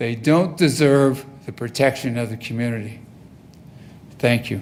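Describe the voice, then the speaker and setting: A man's ordinary pitch variation comes through with audible room echo around it. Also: medium pitch for a man, fairly slow pace. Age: 70s. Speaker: resident speaking at public comment. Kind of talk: public comment at council meeting. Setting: city council meeting. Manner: emphatic.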